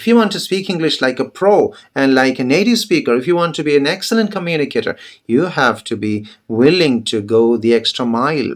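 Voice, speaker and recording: Very wide pitch swings from a man, fairly high in pitch, fairly quick in speed. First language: Malayalam. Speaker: English teacher. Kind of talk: motivational talk to camera.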